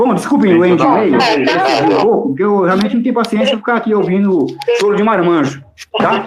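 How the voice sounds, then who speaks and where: An animated man's high-pitched voice, lively in intonation, at a fairly quick pace, with audible room echo. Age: 60s. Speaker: political analyst. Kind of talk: heated debate; casual chat. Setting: audio chat room.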